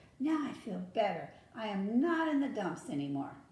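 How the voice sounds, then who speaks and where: Using a put-on character voice, a woman speaks at a fairly high pitch with very wide pitch swings and a slight echo. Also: moderate pace. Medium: read story. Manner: grumbling, put-upon.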